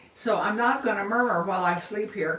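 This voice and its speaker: Delivered at a fairly quick pace, the speech carries audible room echo and noticeable background noise. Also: woman. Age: 80s+. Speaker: bible teacher. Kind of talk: casual sermon on a live video. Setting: social media live video. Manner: animated.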